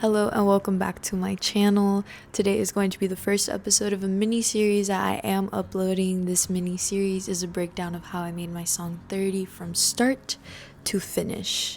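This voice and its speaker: Her pitch sits in the middle range, and she keeps a moderate pace. The woman's intonation stays monotone and flat. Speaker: audio engineer and musician. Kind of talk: vlog tutorial.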